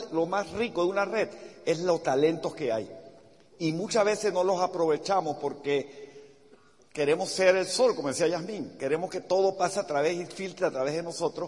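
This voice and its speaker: At a moderate pace, a man with a high pitch speaks in an animated tone with ordinary pitch variation. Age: 60s. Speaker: business motivational speaker. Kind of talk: motivational talk.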